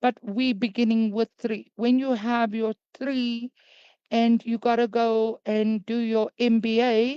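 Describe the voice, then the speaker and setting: A woman speaks with an African accent at a very slow pace. Her intonation is monotone and flat, and the sound is dry and close with no echo. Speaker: crypto business presenter. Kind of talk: sales presentation. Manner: hesitant, many fillers.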